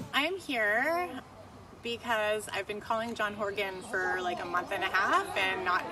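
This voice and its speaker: A woman's medium-pitched voice with lively intonation at a fairly slow pace, with audible room echo and noticeable background noise. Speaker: protester. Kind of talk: street interview.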